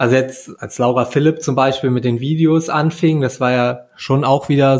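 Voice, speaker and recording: A man's plain, everyday voice, fairly high in pitch, with fairly even intonation at a moderate pace. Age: 30s. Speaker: podcast host, triathlete. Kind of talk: casual interview.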